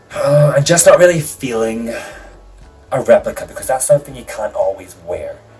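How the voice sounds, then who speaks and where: With music in the background, a man speaks at a moderate pace and with big swings in loudness. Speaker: drag artist vlogger. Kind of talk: casual vlog. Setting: home, on a rolly chair. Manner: casual, hesitant with fillers. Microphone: new mic, too far away, poor sound.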